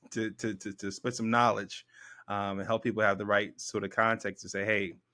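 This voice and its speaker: With a very fast pace, a man speaks in an American accent at a fairly low pitch, his tone bright and sharp and his intonation monotone and flat, on a very clean recording with a silent background. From US South, Memphis Tennessee. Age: 30s. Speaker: author and consultant. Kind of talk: interview.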